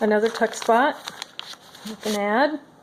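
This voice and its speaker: This woman talks in a fairly high pitch, with noticeable background noise present. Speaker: crafter showing handmade journals. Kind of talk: product flip-through tutorial. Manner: casual, with frequent fillers.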